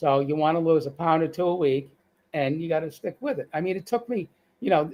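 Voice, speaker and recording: A man with a Boston accent, high-pitched, with ordinary pitch variation and a fairly quick pace. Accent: Boston accent, still present. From Boston, US. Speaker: cancer survivor sharing weight-loss story. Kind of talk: live-stream interview. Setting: online live stream. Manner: halting, frequent restarts.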